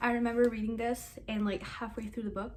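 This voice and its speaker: Somewhat breathy, a woman is speaking. There is audible echo from the room. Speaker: booktuber. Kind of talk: casual book review vlog. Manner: fast; animated.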